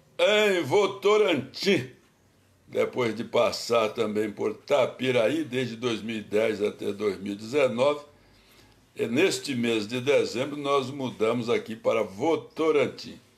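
Talking at a very slow pace, a man lets his pitch swing very widely. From Bahia, Brazil. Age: 70s. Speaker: pastor. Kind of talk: casual livestream talk. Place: home room. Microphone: phone near.

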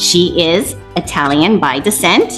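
Over faint music in the background, a woman speaks with lively intonation. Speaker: interview host. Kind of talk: podcast interview. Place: home room. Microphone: video call.

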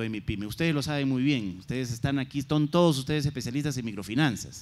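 A man with a fairly high pitch speaks at a very fast pace. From Peru. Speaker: government trade official; panelist. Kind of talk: conference presentation. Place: hall. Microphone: handheld.

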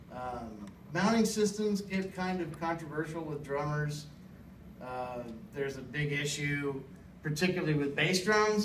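Delivered at a fairly slow pace with ordinary pitch variation, the speech has light background noise and audible room echo. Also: man. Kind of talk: informative class speech. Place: classroom.

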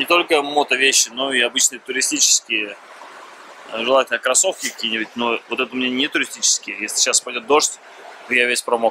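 Fairly quick speech over noticeable background noise, the sound dry with no echo. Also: man. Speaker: travel vlogger. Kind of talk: casual vlog chat. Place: beach. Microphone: phone near.

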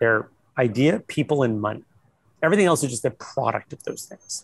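Against a quiet background, a man with an American accent speaks at a fairly quick pace and medium pitch, the sound dry with no echo. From US Midwest (Ohio). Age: 50s. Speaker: investor and entrepreneur; guest. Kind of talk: interview on a panel. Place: hall. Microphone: earbuds.

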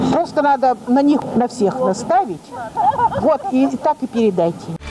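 A woman's fairly slow speech comes through noticeable background noise. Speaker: pensioner selling dairy products. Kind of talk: street interview answer. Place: street. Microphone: handheld.

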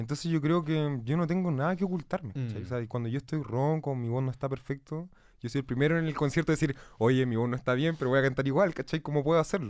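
A man with a Chilean accent speaks very fast at a fairly high pitch, the sound dry with no echo and the background quiet. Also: ordinary pitch variation. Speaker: musician. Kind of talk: casual chat. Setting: studio. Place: studio. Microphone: studio mic.

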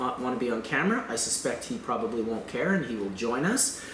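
A man speaks at a very fast pace. Audible room echo and light background noise are present. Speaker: show host. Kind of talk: casual vlog chat. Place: home room. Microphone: camera far.

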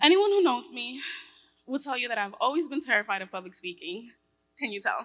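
Her voice is high for a woman, and she speaks at a fairly quick pace with very wide pitch swings. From New York. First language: Spanish. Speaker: tech worker and single mother. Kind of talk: personal testimony speech. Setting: stage with audience. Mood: nervous but heartfelt. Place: hall. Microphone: podium.

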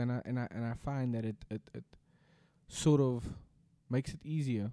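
A man speaks at a moderate pace with ordinary pitch variation. His tone is dark and mellow. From South Africa. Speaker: podcast co-host. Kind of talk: casual chat. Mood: reflective, grateful. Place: home room. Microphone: studio mic.

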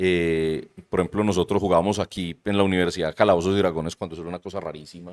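A man with a Medellín Colombian accent, a very deep, low pitch, a very fast pace and fairly even intonation over a quiet background. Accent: Colombian paisa (Medellín) Spanish. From Colombia, Medellín. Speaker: university lecturer and shop owner; university lecturer. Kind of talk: casual chat. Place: studio. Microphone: studio mic.

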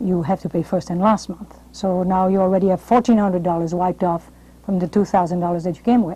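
A woman's dark, mellow tone, fairly even in intonation, at a moderate pace. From France. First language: French. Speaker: television host and drama coach. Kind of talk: interview and advice monologue. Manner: formal. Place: studio. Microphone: lapel.

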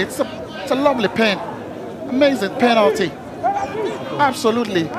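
With crowd noise in the background, a man speaks in an enthusiastic tone with lively intonation. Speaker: football pundit, co-commentator. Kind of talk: analytical co-commentary on match replays. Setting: commentary position at stadium. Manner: enthusiastic, gushing superlatives over replays; repetitive, piling up praise phrases.

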